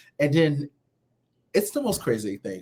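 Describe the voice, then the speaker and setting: An animated man's voice on a very clean recording with a silent background. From US Northeast, Philadelphia. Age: 30s. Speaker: reality TV contestant. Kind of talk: podcast interview.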